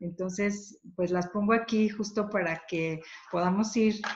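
Over light background noise, a somewhat breathy woman speaks with fairly even intonation. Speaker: thanatologist and grief therapist; panelist. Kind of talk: webinar talk. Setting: video call. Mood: warm, supportive. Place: home room. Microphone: dropped connection; webcam.

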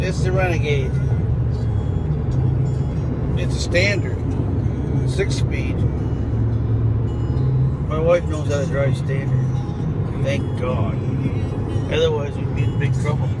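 A man speaks with long, frequent pauses. Music plays in the background, and the sound is dry with no echo. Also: fairly slow pace. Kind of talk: casual vlog chat. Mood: hopeful, light. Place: car. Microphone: phone near.

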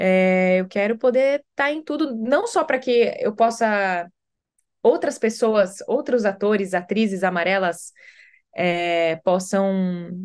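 A woman talks at a very slow pace with lively intonation. The background is quiet. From Brazil. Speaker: actress. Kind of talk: interview. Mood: warm, reflective. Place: home room. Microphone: video call.

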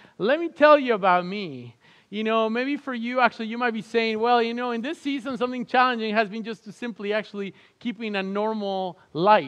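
A man talks with a high-pitched voice. The background is quiet. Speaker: pastor. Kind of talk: sermon and prayer. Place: stage.

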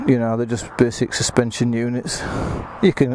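A man is heard over noticeable background noise, the sound dry with no echo. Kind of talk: casual walkaround commentary. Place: street. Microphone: phone near.

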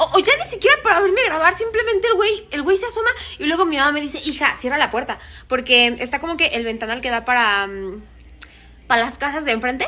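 A woman's raised, projected voice in a Mexican accent, high-pitched, bright and sharp in tone, animated, with very wide pitch swings and a very fast pace. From Mexico. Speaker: social media creator. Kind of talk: casual chat. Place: home room. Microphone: phone near.

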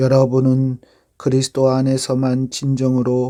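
A man speaks at a medium pitch in a dark, mellow tone. His pace is very slow. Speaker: pastor, Bible reader. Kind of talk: Bible reading.

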